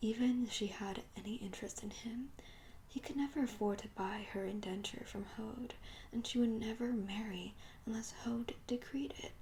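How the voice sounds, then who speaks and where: A soft-spoken voice whispers at a moderate pace against noticeable background noise. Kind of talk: ASMR audiobook reading. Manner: whispered, soft-spoken.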